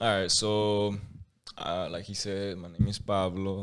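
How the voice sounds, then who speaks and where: A man with a Spanish accent talks in a fairly low pitch at a fairly slow pace. His intonation stays monotone and flat. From Mexico. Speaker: podcast guest. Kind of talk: casual chat. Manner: halting, many repeats and restarts.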